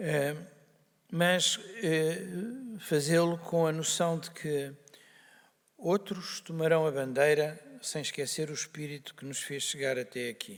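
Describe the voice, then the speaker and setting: A man with a fairly high pitch speaks at a very slow pace, with long, frequent pauses, ordinary pitch variation and big swings in loudness. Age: 60s. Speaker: doctor, organization founder. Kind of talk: opening speech. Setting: stage with audience. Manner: hesitant, with many fillers.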